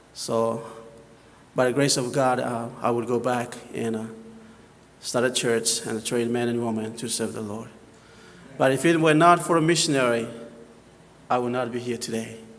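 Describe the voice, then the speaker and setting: With a Papua New Guinean accent, a man talks at a moderate pace with long, frequent pauses. His medium pitch follows fairly even intonation, and audible room echo is present. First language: local Papua New Guinea dialect. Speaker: missionary. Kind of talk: missionary presentation in church. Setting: church. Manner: hesitant, many fillers.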